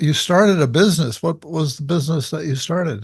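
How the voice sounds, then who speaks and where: Lively intonation from a man with a fairly high pitch and a Californian accent. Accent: General American, California. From Los Angeles, US. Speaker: podcast host, psychologist. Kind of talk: interview.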